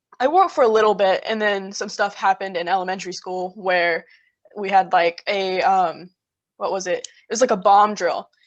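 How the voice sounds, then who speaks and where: Delivery moves at a medium speed. The intonation holds fairly level. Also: woman. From US South, rural South Carolina. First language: Arabic. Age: 20s. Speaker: college student. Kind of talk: casual chat.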